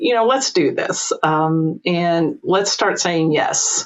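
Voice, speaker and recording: A woman talks with a slight Eastern Kentucky accent. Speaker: employment lawyer and entrepreneur. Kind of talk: podcast interview.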